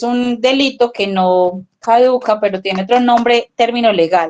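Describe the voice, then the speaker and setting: A woman with a normal speaking voice and a fairly high pitch speaks at a fairly slow pace with ordinary pitch variation. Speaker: family educator. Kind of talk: parenting workshop talk.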